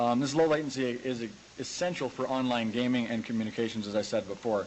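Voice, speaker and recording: A man with a Western Canadian accent talks at a fairly quick pace and a medium pitch. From rural Alberta, Canada. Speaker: grain farmer and tech website owner. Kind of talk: conference presentation. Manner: hesitant, many filler words.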